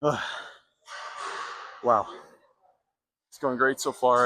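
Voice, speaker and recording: Music plays in the background. A man talks with monotone, flat intonation. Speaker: fitness vlogger. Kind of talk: casual gym vlog talk. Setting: gym. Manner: fast.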